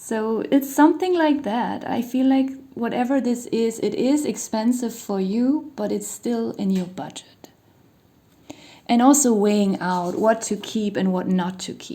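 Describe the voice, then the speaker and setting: A woman talks at a fairly slow pace with a non-native accent. Her tone is dark and mellow, and her intonation is lively. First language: not English. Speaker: tarot card reader. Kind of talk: tarot reading monologue. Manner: casual, hesitant with fillers.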